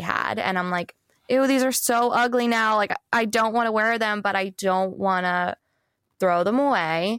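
At a moderate pace, a woman speaks in a normal speaking voice, with a dry, close sound and no echo. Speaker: wardrobe stylist and brand founder. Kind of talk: casual interview chat.

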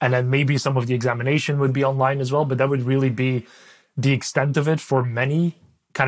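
A man with a Dutch accent talks at a very fast pace in a very clean recording with a silent background. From Belgium. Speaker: ed tech executive. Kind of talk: interview. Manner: halting.

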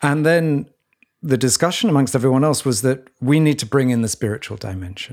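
A man with a normal speaking voice at medium pitch, talking at a fairly quick pace with ordinary pitch variation. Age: 60s. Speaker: podcast co-host. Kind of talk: reflective conversation.

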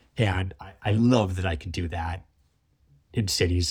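This man speaks with a Canadian accent, his very deep, low voice somewhat breathy and his pitch varying in an ordinary way. The recording is very clean, with a silent background. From Canada, Toronto area. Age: 30s. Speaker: wildlife filmmaker. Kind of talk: interview conversation. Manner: halting, many repetitions.

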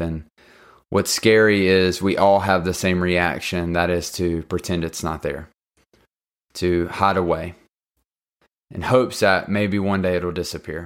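A man's very deep, low voice has a warm tone and fairly even intonation on a very clean recording with a silent background. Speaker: ex-pastor podcaster. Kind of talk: devotional talk. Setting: solo podcast. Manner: warm, conversational, filler words.

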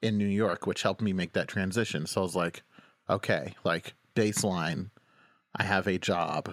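The speaker has an American accent, a moderate pace, fairly even intonation and very even loudness. The recording is very clean, with a silent background and a dry, close sound with no echo. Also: man, very deep, low pitch for a man. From Oklahoma. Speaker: singer-songwriter. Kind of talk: interview conversation. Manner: halting, many fillers.

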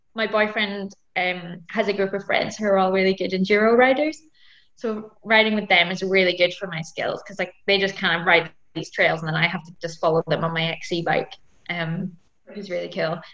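Here a woman speaks with ordinary pitch variation. She keeps a fairly quick pace. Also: medium pitch for a woman. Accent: Scottish. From Scotland. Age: 20s. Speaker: mountain bike racer. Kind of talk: interview.

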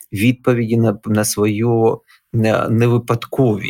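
The speech moves at a very slow pace. Its sound is dry and close, with no echo. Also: man. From Ukraine, Donetsk. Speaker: historian and religious scholar, former captive. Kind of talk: interview.

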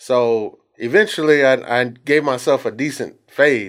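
On a very clean recording with a silent background, a man speaks with a Texan accent. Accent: Texan American. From Texas, Bryan. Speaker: barber. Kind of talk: casual chat.

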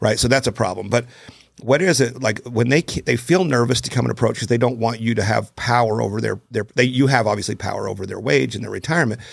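This man speaks at a very fast pace, medium in pitch, with vocal fry running through his voice. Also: ordinary pitch variation. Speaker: podcast host. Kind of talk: casual interview chat.

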